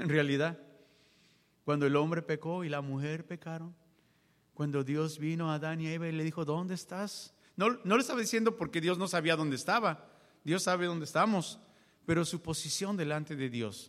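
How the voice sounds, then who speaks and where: A man with a plain, everyday voice speaks at a fairly high pitch and a moderate pace. His pitch variation is ordinary, and the recording is very clean with a silent background. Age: 40s. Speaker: preacher. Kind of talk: sermon. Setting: church.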